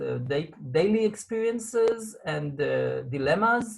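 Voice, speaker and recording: A man speaks with an Israeli accent. His pace is very slow. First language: Hebrew. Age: 40s. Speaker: support line coordinator. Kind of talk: interview. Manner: halting.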